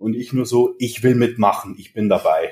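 A man speaks at medium pitch and a moderate pace. His voice is somewhat breathy, with a dark, mellow tone. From Bavaria, Germany (Regensburg). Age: 30s. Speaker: fitness entrepreneur and coach. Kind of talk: casual podcast interview.

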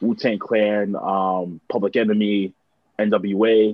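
A man with a Toronto accent, fairly low in pitch, with monotone, flat intonation. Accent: Canadian (Toronto). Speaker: musician and broadcaster. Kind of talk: casual chat.

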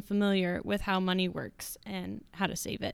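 A woman of medium pitch keeps a moderate pace. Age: 20s. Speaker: college student and marketing director. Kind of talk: interview answers.

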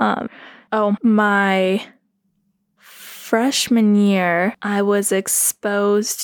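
A woman's medium-pitched voice with a Southern California accent, dry and close with no echo. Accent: American, Valley-girl inflections. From Colorado, Roaring Fork Valley. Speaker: podcast co-host interviewed as guest. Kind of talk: casual conversational interview.

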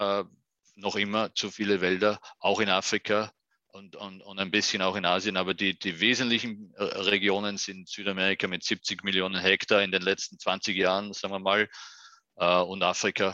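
With an Austrian accent, a man speaks at a moderate pace in a fairly low, bright, sharp voice with big swings in loudness, the sound dry and close with no echo over a quiet background. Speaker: UN forestry official. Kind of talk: interview. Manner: halting, repeats words.

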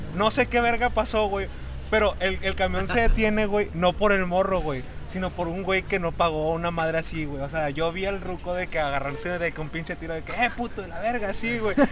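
Over noticeable background noise, a man with a high voice and ordinary pitch variation talks at a fairly quick pace. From State of Mexico. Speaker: podcast co-host, university student. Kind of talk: casual chat.

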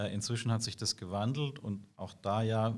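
In a very clean recording with a silent background, a man talks at a moderate pace with fairly even intonation. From southwestern Germany, Karlsruhe. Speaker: IT security sales executive. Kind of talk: interview. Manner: hesitant with many fillers.

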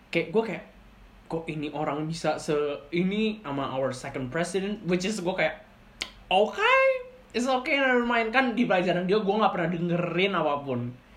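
Amid noticeable background noise and audible room echo, a woman at a medium pitch speaks fairly slowly in an animated tone with lively intonation. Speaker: podcast host. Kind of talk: casual chat.

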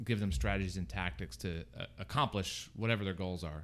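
Lively intonation marks a plain, everyday voice with an American accent. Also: man. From Florida, Fort Myers. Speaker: small business program director. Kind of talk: interview.

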